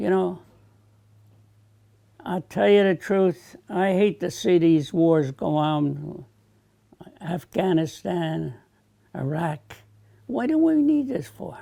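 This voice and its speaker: The speaker talks at a very slow pace with lively intonation, a dark, mellow tone, and long, frequent pauses. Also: man, high pitch for a man. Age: 80s+. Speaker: war veteran. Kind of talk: interview answer.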